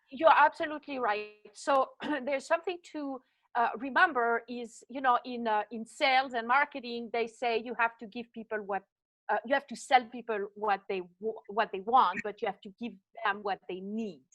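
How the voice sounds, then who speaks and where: Speaking at a moderate pace in a Swiss French accent, a woman with a fairly high pitch shows ordinary pitch variation and big swings in loudness. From French-speaking Switzerland. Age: 60s. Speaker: fitness coach. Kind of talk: interview.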